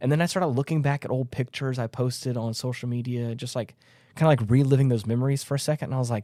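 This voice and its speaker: Very fast and fairly even in intonation, a man speaks in a dark, mellow tone in a very clean recording with a silent background. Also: medium pitch for a man. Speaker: podcast co-host. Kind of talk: casual group discussion.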